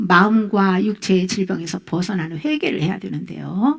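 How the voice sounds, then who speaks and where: This woman has an unremarkable speaking voice at a medium pitch, with lively intonation. She talks at a fairly slow pace. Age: 60s. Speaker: pastor. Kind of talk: sermon.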